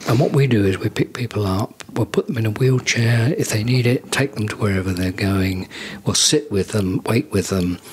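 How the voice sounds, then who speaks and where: Noticeable background noise sits behind this man. He talks at a moderate pace and a fairly low pitch. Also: ordinary pitch variation. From southern England, Guildford, Surrey. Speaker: charity founder, retired marketing executive. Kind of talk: podcast interview. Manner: hesitant, many ums.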